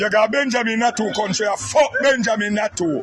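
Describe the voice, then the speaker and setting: Over noticeable background noise, a man with a Jamaican accent talks at a fairly quick pace in a high pitch. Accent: Jamaican Patois. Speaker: political commentator. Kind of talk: angry rant. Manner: loud.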